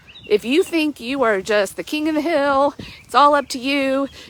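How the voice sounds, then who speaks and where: Over noticeable background noise, a woman speaks at a high pitch in an animated tone. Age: 40s. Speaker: life coach. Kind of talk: devotional reflection. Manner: hesitant fillers.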